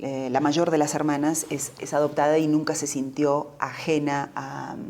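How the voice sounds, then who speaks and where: In an Argentine Rioplatense accent, a woman speaks fairly slowly at a very deep, low pitch with flat, monotone intonation. Background noise is noticeable and room echo is audible. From Argentina, Buenos Aires. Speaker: novelist and journalist. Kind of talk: interview.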